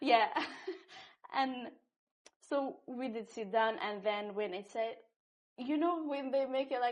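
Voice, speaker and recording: A woman with a non-native accent, high pitch, ordinary pitch variation, very slow pace and long, frequent pauses. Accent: foreign. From North Syria and Iraq, Kurdish. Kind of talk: interview answer. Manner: casual, animated storytelling.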